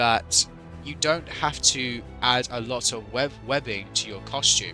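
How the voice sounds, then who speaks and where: A man speaks with a British accent at a fairly slow pace. His pitch is medium, with music in the background. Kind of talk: unscripted commentary video. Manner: hesitant, stuttering at times.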